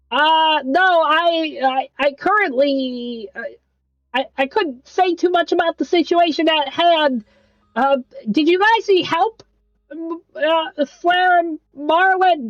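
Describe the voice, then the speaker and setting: Set against background music, a put-on, nasal character voice pitched high moves at a fairly slow pace. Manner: hesitant, stammering, unsure.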